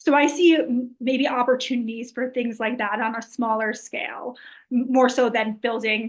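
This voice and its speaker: Against a quiet background, a woman talks in a high-pitched voice. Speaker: city council candidate. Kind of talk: interview. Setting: video call from a library. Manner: soft-spoken; hesitant.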